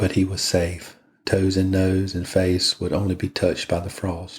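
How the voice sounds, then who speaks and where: A man speaks with a very deep, low pitch and monotone, flat intonation, somewhat breathy. The recording is very clean with a silent background. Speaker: podcast host, reader. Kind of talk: bedtime story reading. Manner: slow, monotonous.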